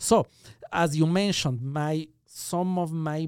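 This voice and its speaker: Heard on a very clean recording with a silent background, a man with an Ecuadorian accent uses ordinary pitch variation, the sound dry and close with no echo. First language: Spanish. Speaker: magician. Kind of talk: interview conversation. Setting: studio.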